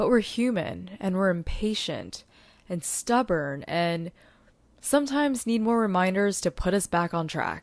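A woman with an unremarkable speaking voice talks at a fairly slow pace and medium pitch, her intonation lively. The recording is very clean, with a silent background. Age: 20s. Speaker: podcast host and social media strategist. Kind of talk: solo podcast monologue.

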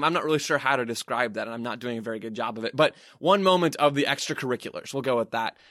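This is a normal speaking voice with lively intonation. The recording is very clean, with a silent background. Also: man. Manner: brisk, fluent, building-detail narration, analytical and measured rather than shouted.

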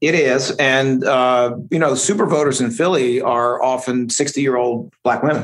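A man at medium pitch talks at a fairly slow pace with ordinary pitch variation and hardly any pauses. He has an ordinary speaking voice, and his loudness stays very even. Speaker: district attorney. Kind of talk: casual interview.

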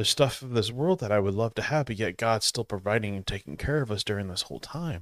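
A man at a very fast pace with hardly any pauses and lively intonation, dry, close sound with no echo, very clean recording over a silent background. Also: fairly low pitch for a man. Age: 40s. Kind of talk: devotional talk. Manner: halting.

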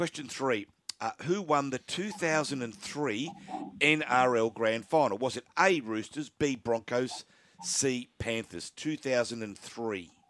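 Very slow, medium-pitched male speech with an Australian accent and lively intonation. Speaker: radio host. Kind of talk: radio sports talk show, live broadcast. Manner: animated, conversational, laughs easily.

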